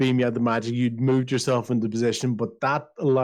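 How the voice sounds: What you hear is a natural reading voice.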